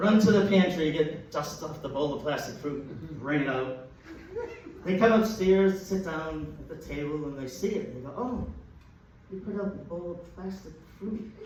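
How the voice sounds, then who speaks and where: With noticeable background noise and audible room echo, a man speaks at a moderate pace in a high pitch, using ordinary pitch variation and big swings in loudness. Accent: Boston. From Boston, Massachusetts (Dorchester). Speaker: comedian. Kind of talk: stand-up. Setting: stage with audience.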